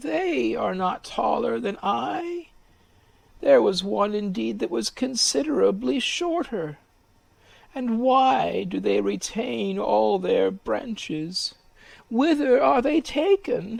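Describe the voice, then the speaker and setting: In a put-on character voice pitched high, a man speaks at a very slow pace. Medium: read story. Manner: eager, yearning.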